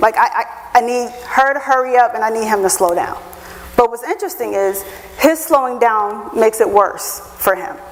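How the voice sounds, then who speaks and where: A woman speaks in a high voice at a fairly quick pace, with an animated tone and very wide pitch swings. Noticeable background noise runs underneath. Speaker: HR professional, guest speaker. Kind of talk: lecture. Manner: fast.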